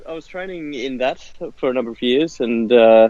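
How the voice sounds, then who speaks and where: A man speaks with a strong Australian accent at a moderate pace. His pitch is medium, and there is noticeable background noise. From Western Australia. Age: 30s. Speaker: martial arts software founder. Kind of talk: interview. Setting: phone call, outdoors.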